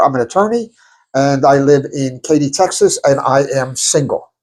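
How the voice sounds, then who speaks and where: Speaking fairly slowly in a New York accent, a man with a fairly high pitch uses ordinary pitch variation. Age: 60s. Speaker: podcast co-host, attorney. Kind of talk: casual chat.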